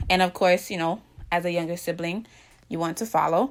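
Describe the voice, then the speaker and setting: On a very clean recording with a silent background, a woman speaks at medium pitch. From Jamaica. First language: Jamaican Patois. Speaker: vlogger. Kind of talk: casual vlog monologue.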